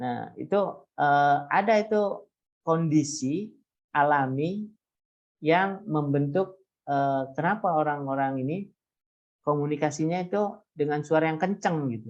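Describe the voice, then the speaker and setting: Speaking at a fairly slow pace with long, frequent pauses, a man shows ordinary pitch variation. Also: fairly high pitch for a man. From coastal Indonesian village. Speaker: university lecturer. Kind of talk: lecture. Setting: video call. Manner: loud.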